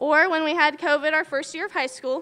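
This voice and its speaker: A woman's raised, projected voice, bright and sharp in tone, with ordinary pitch variation and a moderate pace. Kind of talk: commencement speech. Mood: nostalgic, warm. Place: hall. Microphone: podium.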